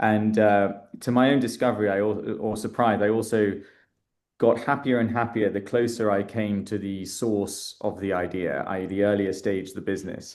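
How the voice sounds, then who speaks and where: In a British accent, a man speaks at a moderate pace with a fairly low pitch and fairly even intonation. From England, London. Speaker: startup founder and investor. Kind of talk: interview. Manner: hesitant, many fillers.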